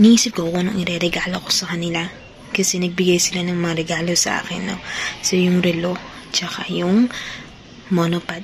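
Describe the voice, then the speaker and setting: A soft-spoken voice talks at a fairly quick pace in a flat monotone, broken by long, frequent pauses, with noticeable background noise and audible room echo. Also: woman, fairly low pitch for a woman. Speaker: vlogger. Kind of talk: casual vlog talk. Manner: speaking softly; chatty.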